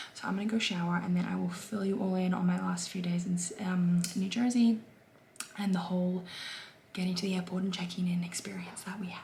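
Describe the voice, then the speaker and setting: Over noticeable background noise, a woman talks at a fairly quick pace in a medium pitch with monotone, flat intonation. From Australia. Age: 20s. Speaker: lifestyle vlogger. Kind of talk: casual vlog talk to camera.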